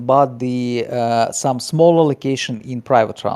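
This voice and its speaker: A man with a non-native accent at a medium pitch, a very slow pace and ordinary pitch variation. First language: not English. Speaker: game project team member. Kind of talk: interview answers. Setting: live Discord stage. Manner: halting, many fillers.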